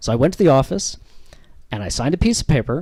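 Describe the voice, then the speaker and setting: This man speaks very fast with a Canadian accent. His tone is dark and mellow, and his pitch swings very widely. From Canada. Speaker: comedian. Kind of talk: stand-up. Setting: stage with audience.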